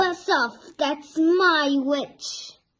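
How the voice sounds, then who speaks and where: Putting on a character voice, a woman sounds shrill, croaky and growling at an extremely high pitch. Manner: menacing.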